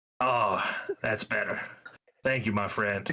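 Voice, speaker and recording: Putting on a character voice, a man talks at a fairly slow pace, raspy and at a medium pitch. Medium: actual play.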